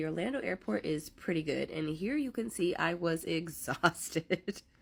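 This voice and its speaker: Her fairly low voice carries lively intonation and vocal fry. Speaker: travel vlogger. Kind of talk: vlog narration. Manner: casual, chatty.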